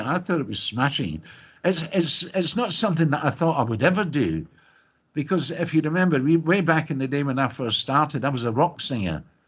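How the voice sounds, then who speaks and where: Against a quiet background, a man with a Scottish accent speaks in a fairly high pitch with lively intonation and vocal fry. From Scotland. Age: old. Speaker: singer. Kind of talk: interview. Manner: animated.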